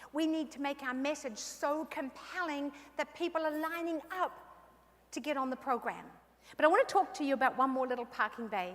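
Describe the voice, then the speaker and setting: A woman at a high pitch with an animated tone, ordinary pitch variation and a fairly quick pace, over noticeable background noise. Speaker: keynote speaker. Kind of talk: motivational keynote speech. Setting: stage at convention with audience.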